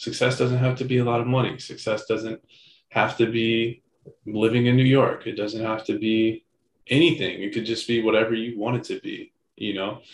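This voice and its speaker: A somewhat breathy man with a medium pitch talks at a moderate pace in a monotone with flat intonation. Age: 30s. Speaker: podcast co-host. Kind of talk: casual chat.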